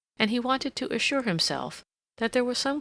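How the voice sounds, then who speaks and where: Vocal fry marks this woman's voice on a very clean recording with a silent background. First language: not English. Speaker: audiobook narrator. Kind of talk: reading aloud.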